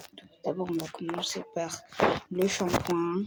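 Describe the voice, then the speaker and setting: Over noticeable background noise, the speech comes in a monotone, flat intonation. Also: woman. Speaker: vlogger. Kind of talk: vlog narration. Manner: casual.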